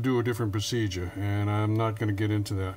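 A man talks with fairly even intonation. There is light background noise. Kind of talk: tutorial. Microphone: phone near.

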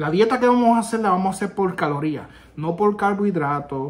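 A man talks with a Puerto Rican accent. His pitch varies in an ordinary way. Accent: Puerto Rican accent in Spanish, rusty Spanish. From Puerto Rico. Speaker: army veteran YouTuber; vlogger. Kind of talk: casual vlog; casual vlog chat. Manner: halting, with self-corrections. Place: home room. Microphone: phone near.

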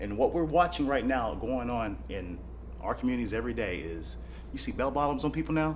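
Over audible room echo, a man with an American accent talks at a fairly quick pace. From US Midwest, small-town Kansas. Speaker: bare-knuckle fighter. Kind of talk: casual interview. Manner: animated.

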